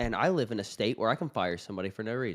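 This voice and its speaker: On a very clean recording with a silent background, a man speaks at a very fast pace with very wide pitch swings. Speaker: live stream host. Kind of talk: casual chat.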